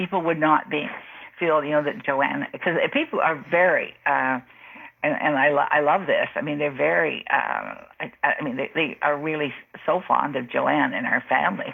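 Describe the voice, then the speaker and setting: A woman with a Canadian accent at a moderate pace, amid noticeable background noise. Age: 70s. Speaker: mystery novelist. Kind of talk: interview. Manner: halting, many fillers and restarts.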